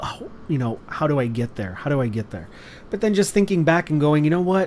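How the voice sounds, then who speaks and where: The voice carries a Californian accent. Its intonation is lively. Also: man. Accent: California. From Los Angeles, California. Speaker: wrestling stream commentator. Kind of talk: casual chat. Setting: live stream. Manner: halting.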